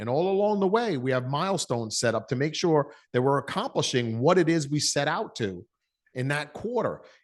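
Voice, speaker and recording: Against a quiet background, a man with a slight New York accent talks fairly quickly at a fairly high pitch, his tone animated and his intonation lively. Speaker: business coach. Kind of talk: interview.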